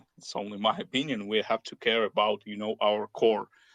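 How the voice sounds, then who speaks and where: A man speaks with a non-native accent. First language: not English. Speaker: crypto community member. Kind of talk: panel discussion. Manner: halting, many fillers.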